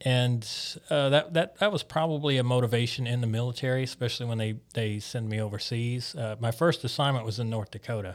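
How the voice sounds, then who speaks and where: On a very clean recording with a silent background, a man with a Mississippi accent speaks at a medium pitch and a fairly quick pace with ordinary pitch variation. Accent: Southern US (Mississippi). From US South, Biloxi, Mississippi. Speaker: church planting intern, military veteran. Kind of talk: interview, personal testimony.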